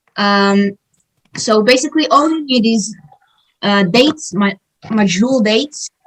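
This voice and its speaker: Speaking at a fairly slow pace with long, frequent pauses, a woman with a fairly high, somewhat breathy voice uses lively intonation, recorded dry and close with no echo. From Israel. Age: 20s. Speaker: community center emissary. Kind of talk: cooking demonstration.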